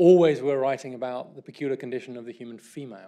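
The man's tone is dark and mellow, with a British accent. He speaks at a very fast pace against a quiet background. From England. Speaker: author guest. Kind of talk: lecture. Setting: stage with audience. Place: stage.

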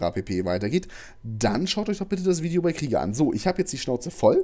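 Very fast male speech in a dark, mellow tone with very wide pitch swings. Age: 20s. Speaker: gaming YouTuber. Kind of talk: farewell rant to viewers. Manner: agitated.

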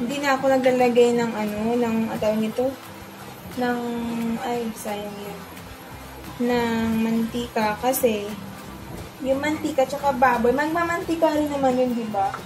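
A woman's high voice at a fairly slow pace, with ordinary pitch variation, long, frequent pauses and clear music in the background. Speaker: home cook vlogger. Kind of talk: casual cooking vlog chat. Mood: relaxed, self-deprecating. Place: kitchen. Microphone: phone near.

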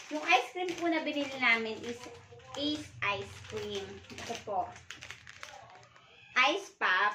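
Amid light background noise and audible room echo, a woman with a high pitch talks at a fairly slow pace. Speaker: vlogger. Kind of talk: casual vlog chat. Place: home room. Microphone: phone near.

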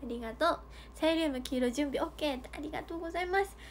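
A woman's high-pitched, cheerful voice at a moderate pace over light background noise. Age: 20s. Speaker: idol livestreamer. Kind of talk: fan livestream chat. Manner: cheerful, frequent laughter. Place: home room. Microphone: phone near.

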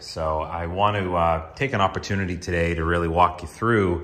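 A man talks with fairly even intonation at a very deep, low pitch. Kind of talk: casual vlog chat. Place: garage. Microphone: phone near.

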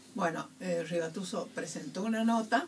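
A woman talks very slowly with lively intonation. Light background noise can be heard. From Argentina (Córdoba). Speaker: human rights activist, grandmother of Plaza de Mayo. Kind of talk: radio interview answer. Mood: grave, recounting painful history. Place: studio.

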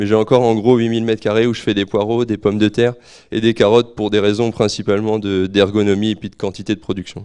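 A man talks at a fairly quick pace in a fairly low pitch, with a dark, mellow tone and monotone, flat intonation against a quiet background. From Normandy, France (Calvados, near Port-en-Bessin); Normandy, France. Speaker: market gardener. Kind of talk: presentation to an audience; conference talk. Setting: room with live audience, microphone. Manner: halting, repeats words. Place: hall. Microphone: handheld.

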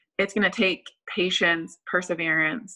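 Speaking at a moderate pace, a woman is heard over a quiet background. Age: 30s. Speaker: nurse. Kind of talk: casual interview. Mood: friendly, reflective. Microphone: video call.

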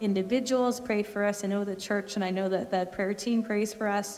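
A woman with an American accent at a moderate pace, with light background noise. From Texas. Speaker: missionary. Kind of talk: testimony. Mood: warm, grateful. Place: home room.

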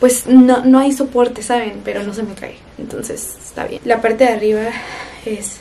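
A woman's high-pitched voice at a fairly quick pace, with light background noise. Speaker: lifestyle vlogger. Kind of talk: casual vlog chat.

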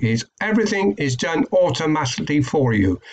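A man's fairly high voice with a British accent at a moderate pace. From UK. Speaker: online marketing YouTuber. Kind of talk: tutorial. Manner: hesitant, many fillers. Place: home room. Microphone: webcam.

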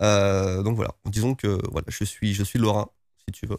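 A man speaks with a fairly low pitch. The sound is dry with no echo, and the background is quiet. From France, various regions (Lorraine, Oise, Creuse); France. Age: 40s. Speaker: YouTuber and entrepreneur; YouTuber. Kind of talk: interview. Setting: guest's premises in Tokyo. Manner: hesitant, many repetitions. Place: studio. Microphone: studio mic.

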